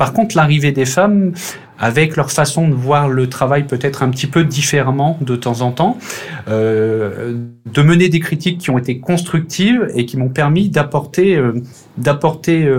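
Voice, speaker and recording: A man with a fairly high voice and ordinary pitch variation talks at a moderate pace as noticeable background noise carries on. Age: 30s. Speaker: railway team manager. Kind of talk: casual interview. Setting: remote call.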